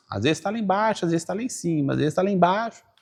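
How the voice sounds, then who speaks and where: A man speaks in a high voice with an animated tone and lively intonation, recorded very cleanly against a silent background. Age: 50s. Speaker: business course teacher, online creator. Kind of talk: casual interview conversation.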